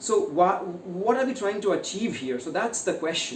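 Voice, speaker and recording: Amid noticeable background noise and audible room echo, a man speaks with lively intonation in an Indian accent. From India, Uttar Pradesh (Ayodhya). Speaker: author and corporate speaker. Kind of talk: interview.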